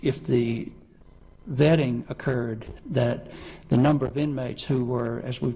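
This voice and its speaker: With a Southern US accent, a man speaks amid audible room echo. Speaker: witness, corrections official. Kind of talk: court testimony. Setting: courtroom. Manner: halting, many fillers.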